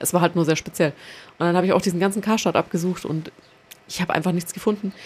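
A woman speaks with fairly even intonation. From Nuremberg, Franconia, Germany. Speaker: cultural centre project coordinator. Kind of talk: casual chat.

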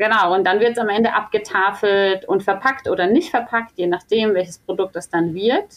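A woman's unremarkable speaking voice at medium pitch, fairly slow in pace, with ordinary pitch variation. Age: 30s. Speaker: sales manager at a fair-trade chocolate company. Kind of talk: podcast interview.

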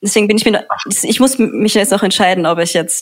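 A woman speaks very fast, with ordinary pitch variation. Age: young. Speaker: student activist. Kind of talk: casual interview chat. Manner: halting, many fillers.

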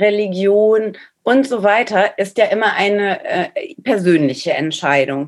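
Speaking at a very slow pace, the woman keeps a medium pitch. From Ruhr area, Germany. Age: 40s. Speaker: social media manager, former dancer. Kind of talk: casual interview.

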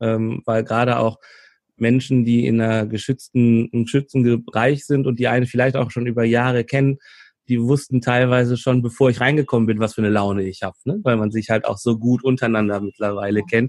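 A man's plain, everyday voice, medium in pitch, at a fairly quick pace with fairly even intonation and a dry, close sound with no echo. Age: 40s. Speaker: conflict coach and trainer. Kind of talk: interview.

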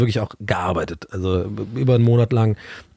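A man speaks with ordinary pitch variation. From southwestern Germany, Tübingen. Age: 30s. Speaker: TV presenter. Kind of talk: casual chat.

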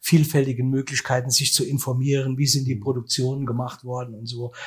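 Somewhat breathy, a man talks at a fairly quick pace in a flat, monotone intonation. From Germany, Saarland (Saarbrücken). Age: 60s. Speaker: musician and event manager. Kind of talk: interview.

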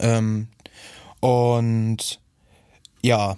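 The voice has a dark, mellow tone. It is recorded very cleanly, with a silent background. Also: man. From Schwerin, northern Germany. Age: 20s. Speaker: music producer and DJ. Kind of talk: interview. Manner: casual, filler-heavy.

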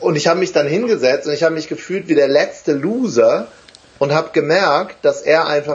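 Speaking at a moderate pace, a man with a fairly high pitch uses an animated tone and lively intonation. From Wuppertal, western Germany. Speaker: motivational trainer and speaker. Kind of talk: live interview. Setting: live stream on Facebook.

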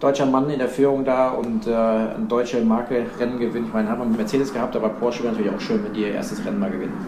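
A man talking at a very fast pace with hardly any pauses and ordinary pitch variation, amid noticeable background noise and audible room echo. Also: medium pitch for a man. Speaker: racing driver and motorsport expert. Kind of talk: casual chat. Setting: remote call from warm holiday abroad.

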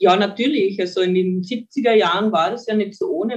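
Medium pitch from a woman at a moderate pace. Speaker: mental trainer. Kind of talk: interview.

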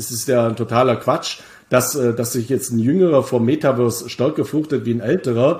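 The voice belongs to a man and is somewhat breathy. He talks at a fairly quick pace. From Bavaria, Germany. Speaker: crypto investment expert and author. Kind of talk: casual interview about crypto markets. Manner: frequent hesitations (äh).

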